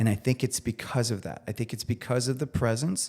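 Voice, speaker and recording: The voice has vocal fry and ordinary pitch variation at a fairly quick pace. The recording is very clean, with a silent background. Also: man. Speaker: chef. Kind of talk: casual chat.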